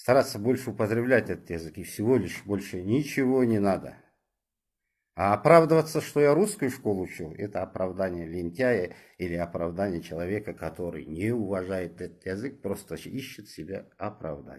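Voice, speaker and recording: On a very clean recording with a silent background, a man's intonation sounds lively. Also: fairly low pitch for a man, moderate pace. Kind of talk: moralizing monologue. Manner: animated.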